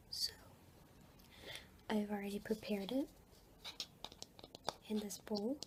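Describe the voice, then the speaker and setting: Soft-spoken, this woman whispers at a fairly slow pace, stopping for long, frequent pauses. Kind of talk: ASMR roleplay. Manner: whispered, soft-spoken.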